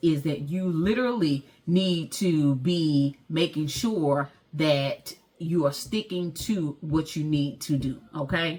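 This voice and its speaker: With a Southern US accent, a woman speaks in an animated tone at a fairly low pitch, her pitch varying in an ordinary way. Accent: country, Southern-sounding US speech. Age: 40s. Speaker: vlogger and entrepreneur. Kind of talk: motivational talk to camera. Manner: animated, informal.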